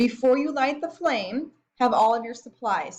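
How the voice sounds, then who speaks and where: A woman is talking. Her intonation is lively. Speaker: college biology instructor. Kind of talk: tutorial. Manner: fast; casual.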